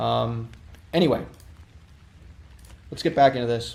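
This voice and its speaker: Speaking with a Canadian accent, a man talks at a fairly quick pace and medium pitch. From Canada. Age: 20s. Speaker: coding livestreamer. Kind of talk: livestream chat with viewers. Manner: hesitant, many fillers.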